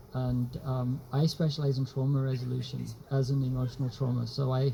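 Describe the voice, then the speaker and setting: Over noticeable background noise, a man speaks at a fairly quick pace and a medium pitch. His intonation is monotone and flat, and his loudness stays very even. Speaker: trauma therapist and speaker. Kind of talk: public talk. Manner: halting.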